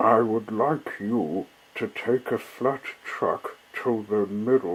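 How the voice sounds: Someone reads a passage aloud. The delivery is a natural reading voice.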